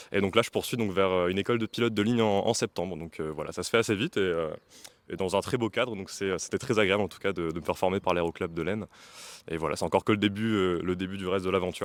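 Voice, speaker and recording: A man speaks at a very fast pace with a very deep, low pitch and fairly even intonation. The very clean recording has a silent background and a dry, close sound with no echo. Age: 20s. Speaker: young pilot and aviation instructor. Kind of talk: interview.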